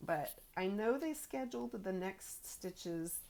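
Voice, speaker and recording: A woman talks very slowly, her pitch fairly low. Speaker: crafting vlogger. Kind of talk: casual chat. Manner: soft-spoken.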